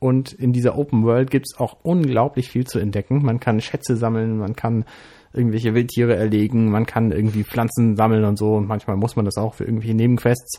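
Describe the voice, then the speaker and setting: Over a fairly quick pace, a man's dark, mellow tone carries a fairly even intonation. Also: medium pitch for a man, quiet background. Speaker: podcast co-host. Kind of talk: casual chat.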